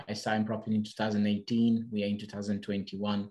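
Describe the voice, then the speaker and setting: Against a quiet background, a man with a Portuguese accent talks at fairly low pitch. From Portugal. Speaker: property investor. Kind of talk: podcast interview. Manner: halting.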